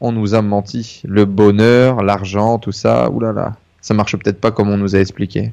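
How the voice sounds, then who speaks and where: A man with a fairly low pitch and a dark, mellow tone speaks at a moderate pace. His intonation is fairly even. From northern France (Denain). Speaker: entrepreneur. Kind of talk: interview testimony. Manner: halting.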